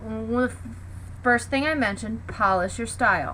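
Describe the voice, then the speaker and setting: The woman talks at a moderate pace, with audible room echo. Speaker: teacher. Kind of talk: lecture. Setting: home basement.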